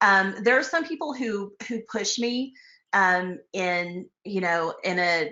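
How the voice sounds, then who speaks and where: With an American accent, a woman speaks at a medium pitch with ordinary pitch variation. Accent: Texas twang, comes out sometimes. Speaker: real estate broker and finance author. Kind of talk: casual interview chat. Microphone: connection dropping.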